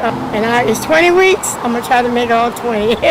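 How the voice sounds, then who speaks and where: A woman speaks at a moderate pace with a high pitch and ordinary pitch variation, amid noticeable background noise and audible room echo. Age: 70s. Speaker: community food program participant. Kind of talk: on-camera testimonial interview. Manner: halting, with fillers.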